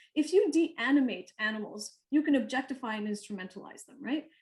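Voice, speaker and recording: Here a woman talks at a fairly quick pace. Her pitch varies in an ordinary way. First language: not English (English is third language). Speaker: poet and artist. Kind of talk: panel discussion. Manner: halting, with many fillers and restarts.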